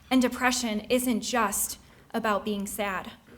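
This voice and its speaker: A woman talks fairly slowly in a high voice. The room echo is audible. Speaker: speaker sharing mental health story. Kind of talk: personal testimony speech. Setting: stage with audience.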